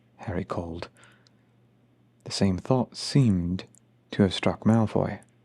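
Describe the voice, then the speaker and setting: A soft-spoken man's very deep, low voice, dark, mellow and soothing in tone, with lively intonation, on a very clean recording with a silent background. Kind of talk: ASMR audiobook reading. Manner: soft-spoken, soothing.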